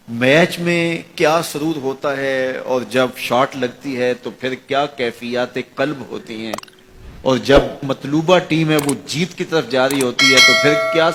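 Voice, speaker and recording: Noticeable background noise sits behind a man speaking. His voice is fairly high, with ordinary pitch variation. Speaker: Islamic religious preacher. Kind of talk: religious sermon.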